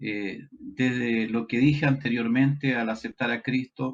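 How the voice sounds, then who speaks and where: A man speaks at a very slow pace. His voice is medium in pitch, with fairly even intonation. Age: 60s. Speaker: pastor. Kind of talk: testimony.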